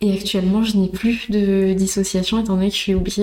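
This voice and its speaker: The woman talks at a fairly quick pace and a medium pitch. Her intonation is monotone and flat. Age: 30s. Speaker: instagram content creator. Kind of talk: interview.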